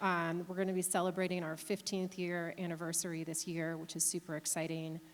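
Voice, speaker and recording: Fairly quick and monotone, a woman speaks with flat intonation in a fairly low voice with an American accent. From Chicago area, US Midwest. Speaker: company CEO, panelist. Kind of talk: panel talk.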